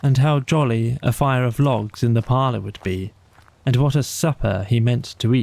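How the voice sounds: Fairly even intonation in a natural reading voice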